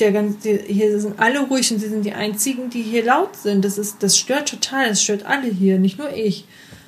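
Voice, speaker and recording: Against noticeable background noise, a woman speaks at a fairly quick pace. Her pitch is fairly high and her intonation fairly even. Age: 20s. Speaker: podcast co-host. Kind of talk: casual chat.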